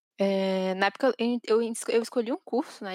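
A woman's fairly high, monotone voice with flat intonation, dry and close with no echo, on a very clean recording with a silent background. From Brazil, not from São Paulo. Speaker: infrastructure engineer. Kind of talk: casual interview chat.

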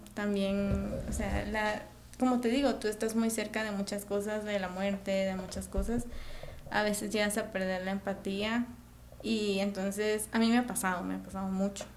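Amid noticeable background noise and audible room echo, a woman talks at a moderate pace with a medium pitch and monotone, flat intonation. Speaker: medical student. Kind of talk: casual interview.

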